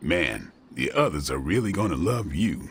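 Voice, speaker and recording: A man's put-on character voice, very deep and low in pitch, at a moderate pace. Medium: video game. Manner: sardonic, laid-back.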